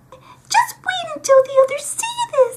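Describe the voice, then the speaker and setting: In a put-on character voice, this female-sounding speaker goes squeaky and extremely high-pitched. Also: fairly slow pace. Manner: excited.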